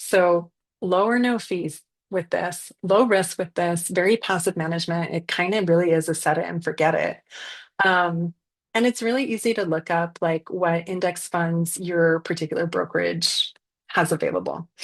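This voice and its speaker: In a quiet background, a woman with a fairly low pitch talks at a moderate pace with fairly even intonation. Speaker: financial strategist. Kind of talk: webinar presentation. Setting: Zoom video call with screen share. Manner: casual with many fillers.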